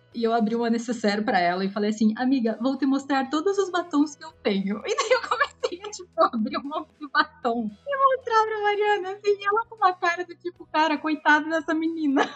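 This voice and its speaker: Her voice is high, and this woman swings her pitch very widely. She talks at a fairly quick pace with hardly any pauses over noticeable background noise. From Curitiba, southern Brazil. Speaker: guest. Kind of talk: casual chat.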